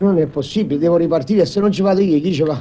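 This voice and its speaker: A man's voice with fairly even intonation. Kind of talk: film dialogue, comic complaint. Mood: fretful, complaining about fever. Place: home room.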